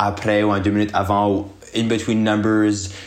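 This man's voice sits at a fairly low pitch, and he talks at a moderate pace. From Acadia, Moncton, New Brunswick. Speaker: drag queen. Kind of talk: casual interview.

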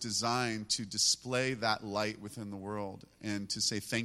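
Very slowly, a man speaks at a medium pitch with a bright, sharp tone and fairly even intonation, in a very clean recording with a silent background. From US, moved around constantly. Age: 50s. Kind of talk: worship exhortation.

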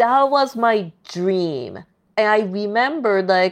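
At a very slow pace, a woman with a Japanese accent speaks at medium pitch with lively intonation. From Tokyo, Japan. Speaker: illustrator. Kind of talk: casual interview.

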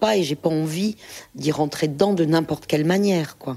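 A woman's very deep, low voice, dark and mellow in tone, with ordinary pitch variation at a moderate pace. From France, Saint-Étienne region. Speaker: photographer and filmmaker. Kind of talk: interview talk with readings from her book. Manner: hesitant, many filler sounds.

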